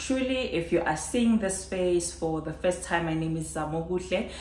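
A woman speaks in a fairly low voice with ordinary pitch variation. The room echo is audible. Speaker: vlogger. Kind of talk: casual vlog chat. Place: home room.

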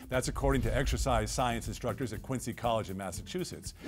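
A man speaks at a fairly quick pace. Clear music can be heard behind him. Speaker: TV presenter. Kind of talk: broadcast tips segment. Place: studio.

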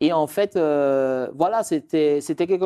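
A man's fairly high voice with lively intonation and a dark, mellow tone. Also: quiet background. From Martinique (Fort-de-France); Martinique. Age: 30s. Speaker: lawyer and real estate expert; lawyer. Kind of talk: interview. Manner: halting. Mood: warm, reminiscing. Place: studio. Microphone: lapel.

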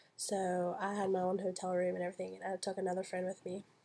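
A woman at a very fast pace, monotone, with flat intonation. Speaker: student vlogger; scholarship student vlogger. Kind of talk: casual video blog. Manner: hesitant, many fillers. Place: home room. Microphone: webcam.

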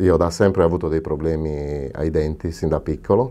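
A man's dark, mellow tone with ordinary pitch variation. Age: 50s. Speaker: dental patient. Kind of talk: testimonial; interview answer. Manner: halting. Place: studio. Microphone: lapel.

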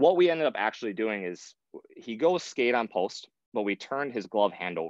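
Over a quiet background, a man with an American accent shows ordinary pitch variation in a dry sound with no echo. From Michigan (the Thumb). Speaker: goaltending coach, former pro goalie; goaltending coach. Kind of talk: webinar presentation. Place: home room. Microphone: earbuds.

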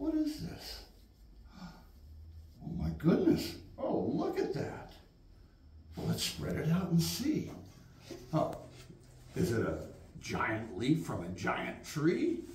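A man speaks at a very slow pace with long, frequent pauses. The recording has audible room echo and light background noise. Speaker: storyteller. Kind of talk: children's storytelling. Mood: gentle, wondering, playful. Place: classroom. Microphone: camera far.

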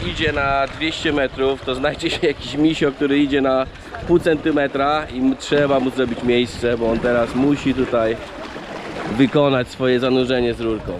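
Over noticeable background noise, a man with a fairly high pitch talks at a moderate pace in a dry sound with no echo. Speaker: diving instructor vlogger. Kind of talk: on-location vlog narration. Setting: outdoors at dive site. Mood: wry, mildly annoyed. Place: beach. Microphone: phone near.

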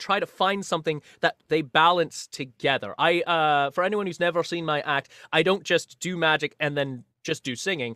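A man speaks at a moderate pace in a Scottish accent, his voice high-pitched with a bright, sharp tone. The recording is very clean, with a silent background. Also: dry, close sound with no echo. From Scotland. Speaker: magician and singer. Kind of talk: casual interview.

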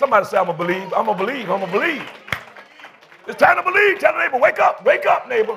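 Over crowd noise, a man speaks at a very fast pace in an extremely high, raised, projected voice with very wide pitch swings. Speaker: pastor. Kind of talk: sermon. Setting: church. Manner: animated. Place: church. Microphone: lapel.

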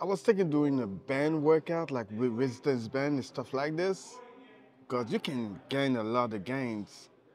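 A man speaks fairly slowly. Music can be heard behind his voice. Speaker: fitness vlogger. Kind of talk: casual vlog chat. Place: gym. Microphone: lapel.

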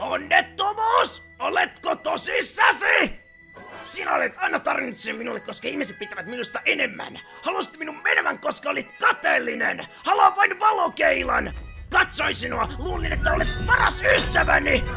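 A man does a put-on character voice with clear music playing in the background. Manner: bitter, angry, sarcastic.

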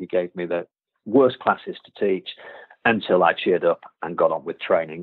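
At a moderate pace, a man talks with a Yorkshire accent. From Yorkshire, England. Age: 40s. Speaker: karate instructor. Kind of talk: interview conversation. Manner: halting, many fillers and repeated words.

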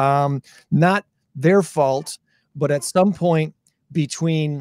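A man speaks at a very slow pace with fairly even intonation. The background stays quiet. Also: dry sound with no echo. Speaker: show host. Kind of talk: casual talk show chat. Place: studio. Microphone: studio mic.

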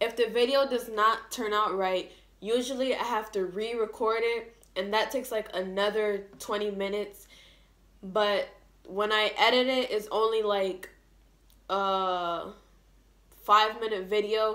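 Long, frequent pauses break up a woman's speech. Her intonation is monotone and flat. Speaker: vlogger. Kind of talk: casual vlog chat. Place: home room. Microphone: phone near.

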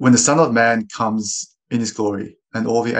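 This man has an unremarkable speaking voice at medium pitch with fairly even intonation. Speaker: scripture reader. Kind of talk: reading aloud.

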